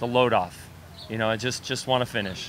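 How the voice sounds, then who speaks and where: A man at a fairly quick pace with an American accent, dry sound with no echo, and light background noise. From Idaho, US. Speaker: triathlete; interviewee. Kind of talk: interview. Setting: restaurant on location. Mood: calm, reflective. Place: cafe. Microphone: handheld.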